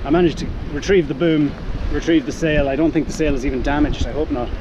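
Noticeable background noise sits behind a man speaking at a moderate pace. The sound is dry with no echo. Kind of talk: casual vlog chat. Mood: upset, self-critical, adrenaline. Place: boat. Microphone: phone near.

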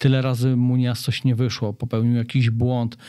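This man's voice is medium in pitch with a dark, mellow tone and monotone, flat intonation. He keeps a moderate pace on a very clean recording with a silent background. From Poland, Opole. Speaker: triathlete and cancer awareness association founder. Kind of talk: interview.

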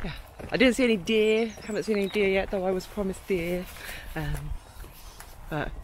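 A woman talks at a fairly quick pace. The sound is dry with no echo, over light background noise. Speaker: van-life vlogger. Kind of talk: casual vlog chat. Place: open country. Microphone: phone near.

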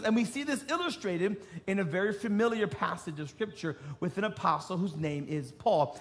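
Music runs behind this recording. A man's pitch swings very widely as he talks. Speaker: preacher. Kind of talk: sermon. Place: stage.

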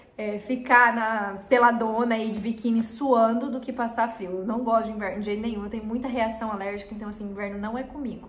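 A woman speaks at a fairly high pitch, and audible room echo surrounds her voice. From Paraná, southern Brazil. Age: 20s. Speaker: YouTuber; youtuber. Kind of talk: casual vlog talk to camera. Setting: improvised home recording corner. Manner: animated. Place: home room.

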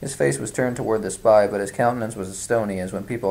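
An unforced reading voice carries the clip.

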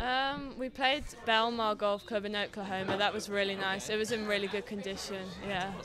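A woman with an English accent speaks at a moderate pace with fairly even intonation, in a dry sound with no echo and noticeable background noise. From England. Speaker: student athlete, golfer; guest. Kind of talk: interview. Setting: team meeting room at a university. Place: meeting room. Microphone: studio mic.

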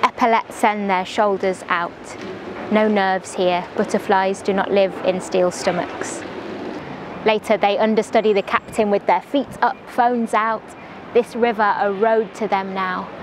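Over noticeable background noise, a woman at medium pitch speaks fairly slowly with monotone, flat intonation. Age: young. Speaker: poet. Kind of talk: spoken word poetry.

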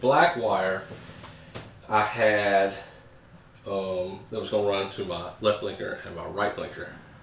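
A man of fairly low pitch at a fairly slow pace, with audible room echo. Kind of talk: casual vlog chat. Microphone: camera far.

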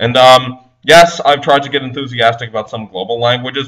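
An unremarkable speaking voice, this man talks at a fairly quick pace and medium pitch. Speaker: polyglot language blogger. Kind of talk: conference presentation. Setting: recorded presentation video.

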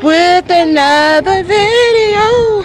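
Woman over noticeable background noise, in a dry sound with no echo. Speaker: family vlogger. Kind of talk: casual vlog chat. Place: street. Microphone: phone near.

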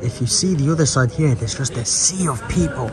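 A man at a fairly quick pace with ordinary pitch variation, amid noticeable background noise. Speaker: pilgrim traveler vlogger. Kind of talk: casual vlog chat. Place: station. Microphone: phone near.

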